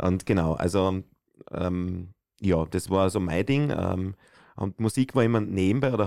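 In a very clean recording with a silent background, a man talks in a very deep, low voice with ordinary pitch variation. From Austria, Styria (Bruck an der Mur). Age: 40s. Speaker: singer. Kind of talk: casual chat.

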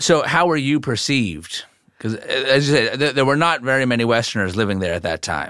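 Over a silent background in a very clean recording, a man talks at a fairly quick pace with a bright, sharp tone, lively intonation and vocal fry. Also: medium pitch for a man. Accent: American. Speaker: podcast host. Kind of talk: interview with narration.

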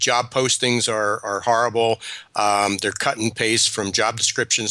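Speaking at a moderate pace, a man uses a medium pitch with a bright, sharp tone. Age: 60s. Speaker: business consultant and author. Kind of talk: radio interview.

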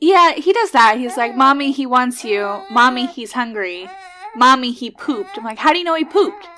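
Over noticeable background noise, a woman uses a raised, projected voice. Her high pitch moves in very wide swings. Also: moderate pace. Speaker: podcast host. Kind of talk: casual chat.

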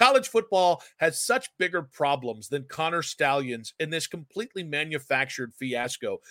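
A man with a fairly high pitch speaks in an animated, bright, sharp tone at a moderate pace. The recording is very clean and dry, close with no echo, over a silent background. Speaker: sports radio podcast host. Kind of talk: casual sports talk. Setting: studio. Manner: loud.

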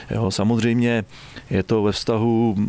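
Background noise is noticeable. A man talks at a fairly slow pace. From Czechia, Trutnov (Krkonoše region). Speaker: forestry school director. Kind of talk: interview on a forest walk. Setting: outdoors in a forest.

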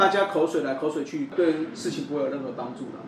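Audible room echo surrounds the speaker. He is a man with lively intonation. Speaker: baseball podcast host. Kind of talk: casual chat.

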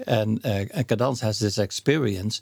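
In a very clean recording with a silent background and a dry, close sound with no echo, a man with a Dutch accent speaks at a fairly low pitch with ordinary pitch variation and a somewhat breathy voice. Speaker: association president. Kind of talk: interview conversation. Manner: slow, halting, many fillers.

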